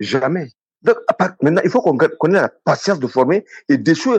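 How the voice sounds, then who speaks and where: Recorded with a dry, close sound and no echo, a man talks at a very fast pace with very wide pitch swings. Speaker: sports consultant. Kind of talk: radio interview. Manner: animated.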